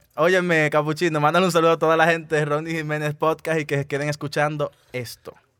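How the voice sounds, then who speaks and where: A man with a Dominican accent talks very fast at a fairly high pitch. His intonation is monotone and flat. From Dominican Republic. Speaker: podcast host. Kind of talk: casual interview.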